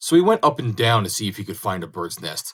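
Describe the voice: Someone is doing plain reading aloud.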